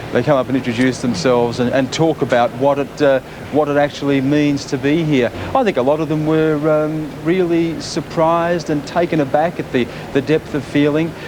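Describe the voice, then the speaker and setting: Over noticeable background noise, a man in an Australian accent speaks at a fairly high pitch and a moderate pace, keeping his intonation fairly even. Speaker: TV news reporter. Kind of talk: live TV cross. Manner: halting, many repetitions.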